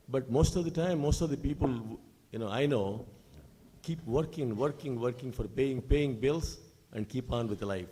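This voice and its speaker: A man speaks at a moderate pace and medium pitch. His tone is dark and mellow, with ordinary pitch variation. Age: 70s. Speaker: audience member asking a question. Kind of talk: question from the audience. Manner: halting.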